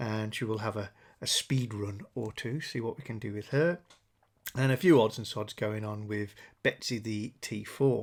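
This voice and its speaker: Recorded very cleanly against a silent background, a man with an English accent talks at a moderate pace with ordinary pitch variation. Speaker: car channel host. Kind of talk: casual video vlog update.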